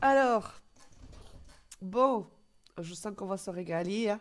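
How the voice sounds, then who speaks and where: Speaking very slowly, a woman uses a medium pitch. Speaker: streamer. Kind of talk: live stream reaction commentary.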